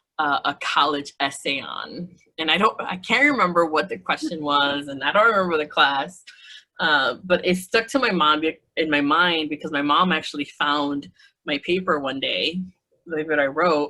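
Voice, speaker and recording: A woman with a very deep, low pitch and a bright, sharp tone speaks with ordinary pitch variation. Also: moderate pace. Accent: Spanish. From United States, Mexican-American family. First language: Spanish. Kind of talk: casual interview. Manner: halting, many fillers and restarts.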